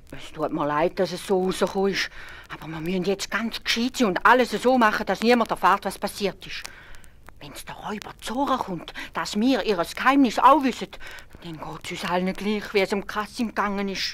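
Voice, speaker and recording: A woman with a Swiss accent speaks at a moderate pace, her pitch in the middle range. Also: big swings in loudness. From Switzerland. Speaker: storyteller. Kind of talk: fairy tale narration for children.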